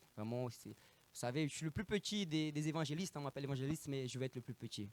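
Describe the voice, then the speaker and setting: A man with a slight Brazilian accent, animated in tone, at a very fast pace, in a dry, close sound with no echo. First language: Portuguese (speaking French). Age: 30s. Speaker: evangelist preacher. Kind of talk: sermon. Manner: halting.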